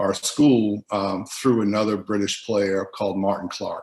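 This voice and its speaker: A man's fairly low voice with a strong Boston accent and fairly even intonation. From US Northeast, Boston. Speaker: former basketball teammate. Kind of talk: documentary interview.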